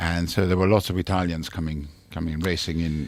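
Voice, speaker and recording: A man talks at a very fast pace with a very deep, low pitch. His intonation stays fairly even. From Italy, Milan. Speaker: racehorse trainer. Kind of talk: radio interview. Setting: radio studio.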